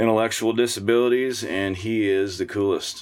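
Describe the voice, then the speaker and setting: A man speaks in a normal speaking voice. His pace is moderate and his intonation fairly even. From US Midwest, Missouri. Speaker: singer-songwriter and muralist. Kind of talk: casual interview. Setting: camper studio.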